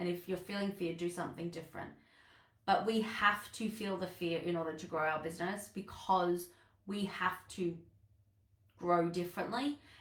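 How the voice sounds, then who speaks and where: With an Australian accent, a woman speaks at a moderate pace and medium pitch in a somewhat breathy voice. Her intonation stays fairly even, broken by long, frequent pauses. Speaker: business coach. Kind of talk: live online masterclass talk. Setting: livestream.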